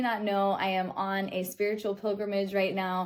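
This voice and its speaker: A woman with a Midwestern American accent at a medium pitch and a moderate pace, in a very clean recording with a silent background. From Kansas City, Kansas. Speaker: metaphysical student, spiritual teacher. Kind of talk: spiritual reflection talk to camera.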